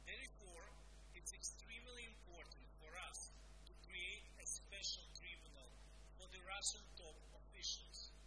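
A man speaking at a fairly slow pace over loud background noise. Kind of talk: formal address. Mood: serious, earnest. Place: office.

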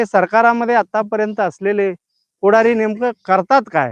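The sound is dry and close with no echo as a man talks at a high pitch. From Akkalkot taluka, Solapur, Maharashtra. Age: 40s. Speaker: local news channel host. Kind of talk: live field report. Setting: outdoors. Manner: halting.

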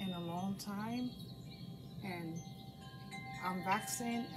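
A woman talks at a fairly slow pace against loud background noise. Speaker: craft instructor for seniors. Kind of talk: casual tutorial chat. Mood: warm, chatty. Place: home room. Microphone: camera far.

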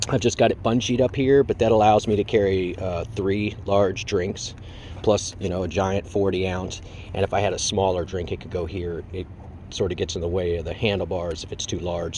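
A man speaks with a very deep, low pitch at a moderate pace, his intonation fairly even. The sound is dry with no echo, over light background noise. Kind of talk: casual tutorial. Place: street. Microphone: phone near.

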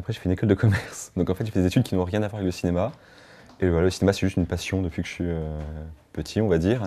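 A man's very deep, low voice, dark and mellow, at a very fast pace with fairly even intonation. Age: 20s. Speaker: short film director. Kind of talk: interview. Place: home room.

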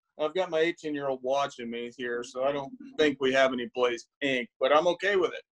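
A man with a normal speaking voice talks at a fairly high pitch and a fairly quick pace. His pitch variation is ordinary, and the background is quiet. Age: 40s. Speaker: bird hunter, game show contestant. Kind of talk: casual chat. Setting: video call from home. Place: home room. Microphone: video call.

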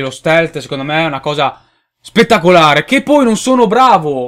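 A man speaks at a moderate pace. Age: 20s. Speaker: gaming youtuber; gaming video creator. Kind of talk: casual video commentary. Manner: hesitant, with fillers. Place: home room. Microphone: webcam.

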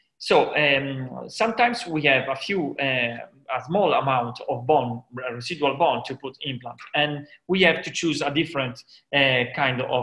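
In a bright, sharp tone, a man talks at a moderate speed. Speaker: dental lecturer. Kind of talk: lecture. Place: office. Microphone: headset.

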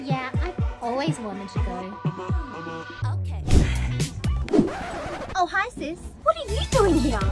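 Loud music plays in the background as a woman speaks at a fairly slow pace. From Australia. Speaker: comedic actress. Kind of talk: comedy skit dialogue. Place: train. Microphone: phone near.

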